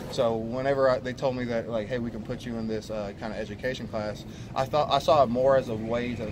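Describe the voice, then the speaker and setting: In an American accent, a man at medium pitch rattles along at a very fast pace in a flat monotone, with audible room echo around him. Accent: Texan accent, noticed by teammates. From Texas. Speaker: college football player. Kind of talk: post-practice media interview. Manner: halting, many repetitions and fillers.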